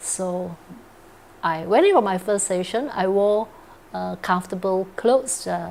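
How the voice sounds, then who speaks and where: A woman at a medium pitch with ordinary pitch variation, at a fairly slow pace with long, frequent pauses. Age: 60s. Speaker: cancer survivor. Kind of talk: interview testimony. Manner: hesitant, with fillers.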